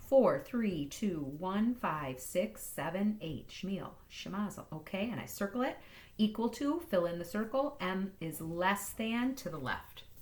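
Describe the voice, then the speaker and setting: A somewhat breathy woman's voice of medium pitch, fairly slow yet with hardly any pauses, and very wide pitch swings. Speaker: math teacher. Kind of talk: tutorial. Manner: animated.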